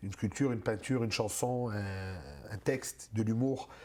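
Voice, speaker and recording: A man talks at a moderate pace in an energetic, warm tone that is somewhat breathy. The recording is very clean, with a silent background. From Moroccan-born, raised in North America. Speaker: stand-up comedian. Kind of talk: interview answer. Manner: energetic, warm, friendly.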